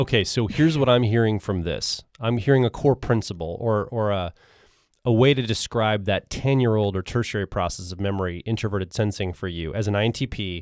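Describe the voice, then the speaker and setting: Recorded very clean over a silent background with a dry, close sound and no echo, a man with an unremarkable speaking voice talks at a fairly quick pace, fairly low in pitch with ordinary pitch variation. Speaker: podcast host. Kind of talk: casual interview.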